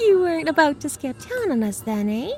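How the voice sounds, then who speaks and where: A put-on character voice swings very widely in pitch against clear background noise. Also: female-sounding voice. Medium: audio drama. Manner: chatty, familiar.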